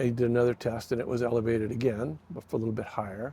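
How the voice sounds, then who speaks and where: In a dark, mellow tone, a man talks at a very fast pace with a medium pitch. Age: 70s. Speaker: retired logger and former video store owner. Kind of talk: interview. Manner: hesitant, many fillers.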